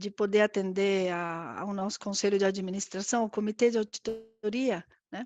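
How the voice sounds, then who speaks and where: A woman with a medium pitch talks at a moderate pace with fairly even intonation and big swings in loudness. The sound is dry and close with no echo, over a quiet background. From Argentina. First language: Spanish (speaking Portuguese). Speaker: corporate risk director. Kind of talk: live interview. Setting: live stream. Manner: halting, many fillers.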